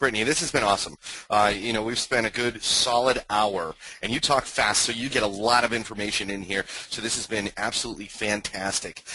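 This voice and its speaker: Amid noticeable background noise, a man talks fairly quickly in a fairly low pitch with fairly even intonation. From New England. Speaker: webinar host. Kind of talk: webinar interview.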